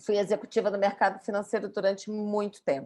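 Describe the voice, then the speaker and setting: A woman with a Brazilian accent, medium pitch and a moderate pace. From Brazil, Rio de Janeiro. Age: 50s. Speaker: yoga and pilates instructor. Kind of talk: podcast interview.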